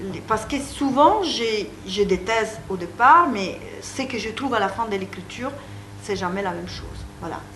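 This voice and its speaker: Audible room echo and noticeable background noise surround the recording. A woman speaks at a fairly high pitch with an Italian accent. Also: lively intonation, moderate pace. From Italy. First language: Italian (speaking French). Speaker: psychoanalyst and author. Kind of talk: interview. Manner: halting.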